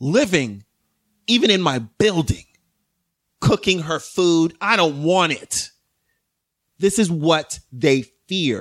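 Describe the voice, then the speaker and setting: A man with an American accent and high pitch speaks at a very slow pace with lively intonation. He leaves long, frequent pauses. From New York, the Bronx. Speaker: podcast guest. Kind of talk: casual chat. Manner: halting.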